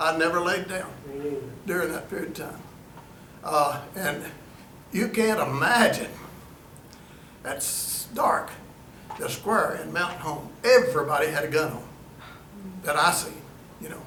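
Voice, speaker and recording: A man with an Arkansas accent speaks in a high voice at a fairly slow pace, with ordinary pitch variation. He leaves long, frequent pauses, and there is noticeable background noise. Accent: Southern US (Arkansas). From Arkansas, USA. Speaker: retired county judge. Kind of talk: storytelling talk to a historical society meeting. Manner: folksy, casual, hesitant.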